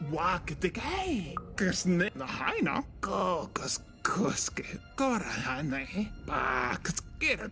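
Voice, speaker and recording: A put-on character voice at a middle pitch, very slow, with clear music behind it. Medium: video game.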